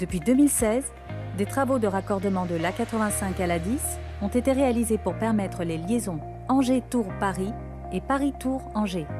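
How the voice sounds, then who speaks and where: With music playing behind her, a woman talks at a moderate speed. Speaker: voice actor. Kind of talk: corporate narration.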